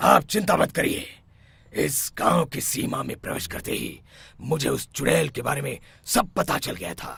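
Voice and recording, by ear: Doing a cartoonish character voice, a man talks at a moderate pace in a raspy, fairly high pitch, with big swings in loudness.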